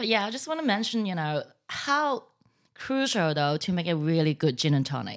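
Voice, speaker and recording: The recording is very clean, with a silent background. The pitch swings very widely throughout. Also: woman, fairly low pitch for a woman, moderate pace. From Hong Kong. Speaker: gin distiller. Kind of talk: casual chat.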